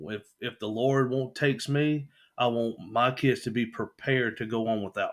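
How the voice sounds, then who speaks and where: On a very clean recording with a silent background, a voice with a Southern US accent speaks with fairly even intonation. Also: man, medium pitch for a man, moderate pace, big swings in loudness. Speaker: podcast host's husband. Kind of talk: casual chat. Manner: radio-host style delivery.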